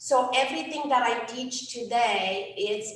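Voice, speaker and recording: With a Romanian accent, a woman speaks at a very slow pace in a room with audible echo. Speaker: life coach. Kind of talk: workshop talk. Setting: event with audience. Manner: hesitant, many fillers.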